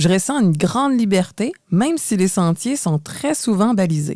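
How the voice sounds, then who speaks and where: Using very wide pitch swings around a medium pitch, a woman speaks at a fairly slow pace in a very clean, dry, close recording with no echo and a silent background. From Quebec, Montreal. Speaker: podcast co-host. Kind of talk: scripted podcast conversation.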